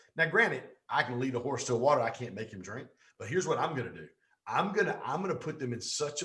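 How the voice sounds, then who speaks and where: Here a man talks with a Southern US accent. His tone is animated. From Pontiac, Michigan and Georgia, US. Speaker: business coach. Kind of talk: interview.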